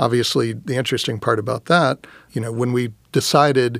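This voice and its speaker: In a very clean recording with a silent background, a man with a normal speaking voice, medium pitch and an American accent speaks at a moderate pace with fairly even intonation. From Texas (Round Rock, near Austin). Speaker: audio industry business development executive. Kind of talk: casual interview chat.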